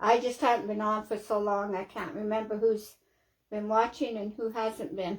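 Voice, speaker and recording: A woman with a Canadian accent speaks at a moderate pace with fairly high pitch and fairly even intonation, in a plain, everyday voice. The recording is very clean, with a silent background. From Canada. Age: 60s. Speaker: craft livestreamer. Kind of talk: casual livestream chat while crafting.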